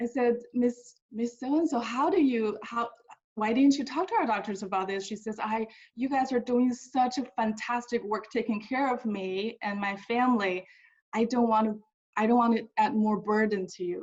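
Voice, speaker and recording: Speaking with a Mandarin accent, a woman uses a fairly high pitch and ordinary pitch variation. Her pace is moderate. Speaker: hospital staff member. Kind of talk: webinar talk, personal story. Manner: halting, many repetitions.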